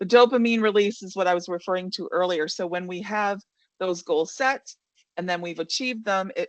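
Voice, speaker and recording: A woman speaks with a fairly low pitch. The sound is dry and close with no echo, and the background is quiet. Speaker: leadership coach and webinar presenter. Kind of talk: webinar presentation. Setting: online webinar. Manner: fast.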